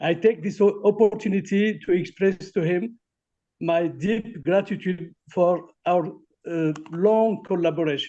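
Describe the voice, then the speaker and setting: In a French accent, a man with a high pitch and a dark, mellow tone speaks at a fairly slow pace with fairly even intonation. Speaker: academic collaborator. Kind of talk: testimony. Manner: halting.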